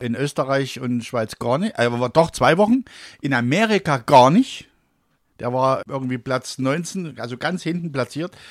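A man with a Saxon accent speaks at a moderate pace and medium pitch, with lively intonation. The sound is dry and close with no echo, in a very clean recording with a silent background. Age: 50s. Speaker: radio presenter and comedian. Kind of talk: casual chat. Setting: studio.

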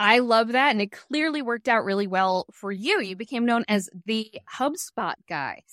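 In a very clean recording with a silent background and a dry, close sound with no echo, a woman with an unremarkable speaking voice talks at a moderate pace, fairly high in pitch, with lively intonation. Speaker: podcast host. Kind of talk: interview intro and chat. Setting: video podcast.

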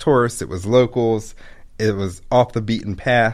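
A man in an American accent with a normal speaking voice, fairly low pitch, and ordinary pitch variation, on a very clean recording with a silent background. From Maryland, Baltimore area (Pikesville). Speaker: ice cream shop owner. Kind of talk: casual interview.

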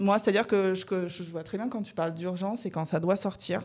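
At a fairly quick pace, a woman talks with vocal fry. Her pitch is medium, with ordinary variation. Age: 30s. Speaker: guest sharing coming-out story. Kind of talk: casual chat.

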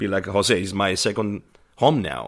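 A man with an Italian accent speaks at a moderate pace and a fairly low pitch. The recording is very clean, with a silent background. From southern Italy. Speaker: chef. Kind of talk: round-table discussion.

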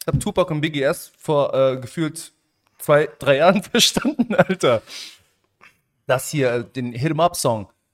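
A man with a fairly high voice and lively intonation talks at a fairly slow pace, leaving long, frequent pauses. The sound is dry and close, with no echo. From Germany, Stolberg near Aachen (Moroccan family). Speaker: podcast co-host. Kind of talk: casual chat. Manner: animated.

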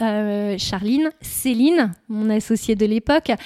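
In a very clean recording with a silent background, a woman speaks with a dark, mellow tone, fairly high pitch, and ordinary pitch variation. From northern France, Nord. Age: 30s. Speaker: shop owner. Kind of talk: interview. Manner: hesitant, many fillers.

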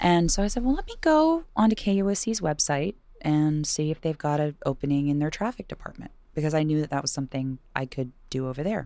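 With an American accent, a woman speaks at a fairly quick pace in a very deep, low voice with a dark, mellow tone and lively intonation. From Virginia, US. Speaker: radio host and singer. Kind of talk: casual interview chat.

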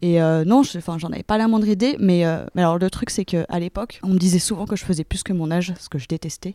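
A woman's dark, mellow, fairly low voice with ordinary pitch variation, fairly quick with hardly any pauses, on a very clean recording with a silent background and a dry, close sound with no echo. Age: 30s. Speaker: interviewee sharing personal experience. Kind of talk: testimony. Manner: halting, many fillers and repetitions.

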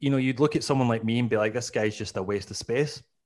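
With a Scottish accent, a man talks at a fairly quick pace and medium pitch, his intonation fairly even, on a very clean recording with a silent background. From Scotland, Glasgow. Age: 40s. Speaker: comedian. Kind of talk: casual chat.

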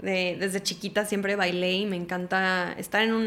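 Her voice is an unremarkable speaking voice, a woman at medium pitch and moderate pace. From Houston, Texas (born Mexico City). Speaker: actress and TV presenter. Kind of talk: casual interview chat.

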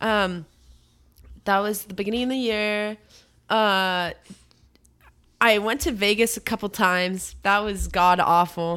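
A woman's bright, sharp, animated voice at a fairly slow pace, broken by long, frequent pauses. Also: medium pitch for a woman, very clean recording, silent background. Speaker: podcast co-host. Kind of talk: casual chat.

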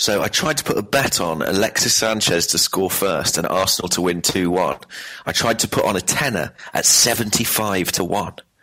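Noticeable background noise behind a man, his pitch varying in an ordinary way. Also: moderate pace, very even loudness. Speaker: football fan guest. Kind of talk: casual chat.

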